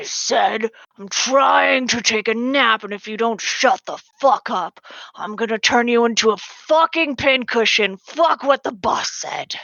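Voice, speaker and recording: Someone uses a put-on character voice at a fairly high pitch. The pace is fairly slow. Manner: irritated, threatening.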